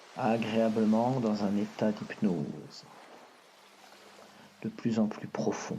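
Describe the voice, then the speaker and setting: The tone is soothing and the pace very slow. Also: man. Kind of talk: hypnosis relaxation guide. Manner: soft, slow, soothing.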